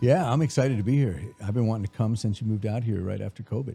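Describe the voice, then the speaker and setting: The tone is dark and mellow, somewhat breathy. The delivery is very fast. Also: man, medium pitch for a man, ordinary pitch variation. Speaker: voice actor. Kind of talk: interview answer.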